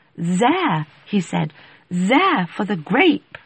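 A woman performs a put-on character voice. Her pitch sits in the medium range.

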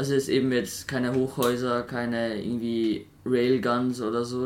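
This man's voice sits at a medium pitch and moves at a moderate pace. His intonation is monotone and flat. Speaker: podcast co-host. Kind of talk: casual chat.

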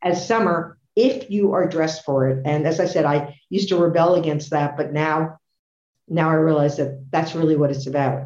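Using an American accent, a woman with a very deep, low pitch and a dark, mellow tone speaks at a moderate pace. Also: ordinary pitch variation. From US Northeast. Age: 70s. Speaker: author and walking racer. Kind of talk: casual interview.

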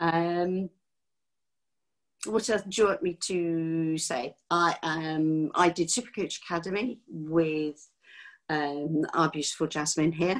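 Speaking very slowly with a southern English accent, a woman uses a fairly low pitch and ordinary pitch variation on a very clean recording with a silent background. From England, near London. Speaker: life coach. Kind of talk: casual chat.

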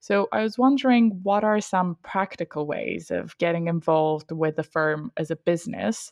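A woman's normal speaking voice, fairly low in pitch, with ordinary pitch variation at a moderate pace. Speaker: podcast host. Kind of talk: interview, polished. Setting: remote recording.

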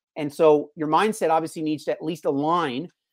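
With fairly even intonation, a plain, everyday voice keeps up a fairly quick pace. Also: man. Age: 40s. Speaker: fitness coach. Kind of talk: interview. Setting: video call.

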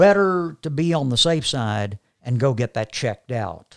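This man has a plain, everyday voice with an American accent, set fairly high for a man. He talks at a fairly slow pace with lively intonation. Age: 60s. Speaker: pastor. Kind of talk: casual chat. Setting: studio.

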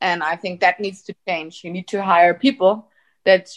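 Using a German accent, a woman talks at a moderate pace with a medium pitch and ordinary pitch variation. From Austria. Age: 30s. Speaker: tech company executive. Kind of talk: interview.

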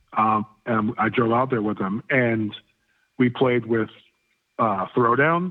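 A man with an American accent speaks at a very slow pace, leaving long, frequent pauses. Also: medium pitch for a man, ordinary pitch variation. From Florida. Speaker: hardcore punk musician. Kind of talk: casual interview chat. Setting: phone call.

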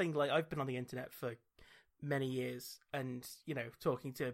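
A man at medium pitch with a British accent and fairly even intonation, on a very clean recording with a silent background. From Britain. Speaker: podcast host. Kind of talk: casual chat.

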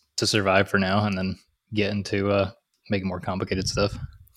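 This man's voice sits fairly low and moves at a moderate pace. Nothing can be heard behind him in this very clean recording. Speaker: podcast host, machinist. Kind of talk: casual chat.

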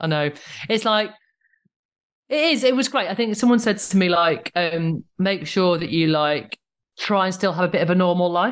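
Lively intonation in a northern English accent, at a moderate pace with long, frequent pauses, over a quiet background. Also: woman, medium pitch for a woman. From northern England. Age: 40s. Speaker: stand-up comedian. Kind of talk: casual chat. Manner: easy-going, earthy.

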